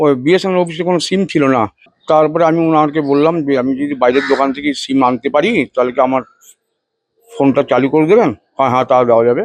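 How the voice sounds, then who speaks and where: A man's fairly high-pitched voice carries ordinary pitch variation. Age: 60s. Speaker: priest, fraud victim. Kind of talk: interview testimony. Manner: halting.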